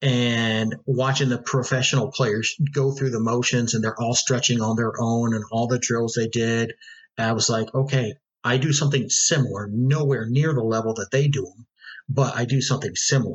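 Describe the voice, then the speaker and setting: Moderately paced talk from a man, somewhat breathy, medium in pitch, with fairly even intonation. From US Midwest, northwest Ohio. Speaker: Spanish teacher and soccer coach. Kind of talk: casual interview.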